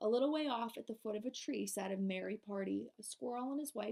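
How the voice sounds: This is a natural reading voice. A natural reading voice is what comes through.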